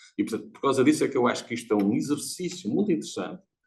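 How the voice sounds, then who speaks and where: A man talks at a very fast pace. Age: 70s. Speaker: audience member, lecturer. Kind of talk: seminar audience comment. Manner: animated.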